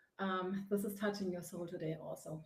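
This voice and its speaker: A woman speaks with a German accent. Audible room echo surrounds her voice. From Germany. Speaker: face yoga teacher and author. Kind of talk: live broadcast monologue. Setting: home on a sofa. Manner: hesitant with many fillers.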